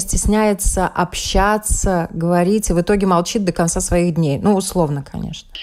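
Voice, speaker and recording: Speaking at a moderate pace, a woman uses a medium pitch and ordinary pitch variation in an unremarkable speaking voice. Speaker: radio journalist host. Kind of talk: radio interview.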